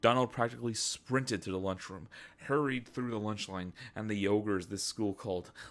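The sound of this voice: Someone reads in an unforced voice, its pitch moving in an ordinary way.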